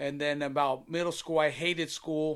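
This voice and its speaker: A man with a fairly high pitch at a moderate pace, on a very clean recording with a silent background. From Long Beach, California. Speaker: music producer and nonprofit founder. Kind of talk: testimony.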